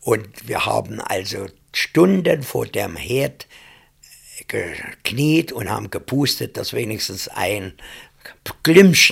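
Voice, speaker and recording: Long, frequent pauses break up delivery that proceeds at a very slow pace. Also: man. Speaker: contemporary witness. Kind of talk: personal recollection.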